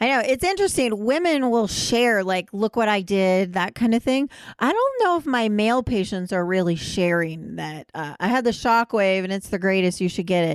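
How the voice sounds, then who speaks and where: A woman with an unremarkable speaking voice, fairly high in pitch, lively in intonation, at a moderate pace with hardly any pauses. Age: 50s. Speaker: gynecologist and podcast host. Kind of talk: casual chat.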